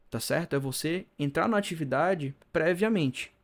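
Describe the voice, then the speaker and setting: Speaking fairly slowly, a man lets his pitch swing very widely. The audio is very clean, and the background is silent. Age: 20s. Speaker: mental health youtuber. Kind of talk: video monologue. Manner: stumbling over words.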